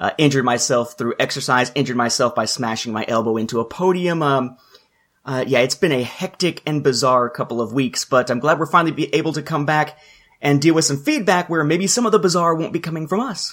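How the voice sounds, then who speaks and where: A man with an ordinary speaking voice, a fairly high pitch, ordinary pitch variation and a fairly quick pace. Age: 30s. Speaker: podcast co-host, fan timeline creator. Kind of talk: casual chat.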